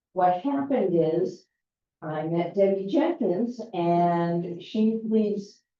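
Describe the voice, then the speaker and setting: A woman's medium-pitched voice at a very slow pace, with lively intonation. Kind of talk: public forum Q&A talk. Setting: community meeting with audience. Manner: loud.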